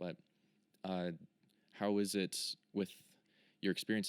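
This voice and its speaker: Moderate-speed talking from a man, dry and close-miked without any echo. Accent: American. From United States. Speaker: podcast host. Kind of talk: interview. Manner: monotone.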